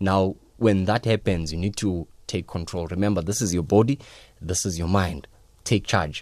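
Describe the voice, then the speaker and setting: A man talks at a moderate pace in a very deep, low voice with ordinary pitch variation. The recording is very clean, with a silent background. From South Africa, Daveyton. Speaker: education expert. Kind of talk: radio interview.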